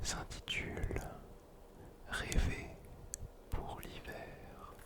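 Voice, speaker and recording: Noticeable background noise surrounds a man who is whispering. His pace is very slow. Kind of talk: casual talk to camera. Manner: whispered.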